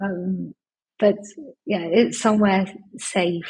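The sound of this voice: Slightly mellow tone with a husky, rough edge and fairly even intonation. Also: woman.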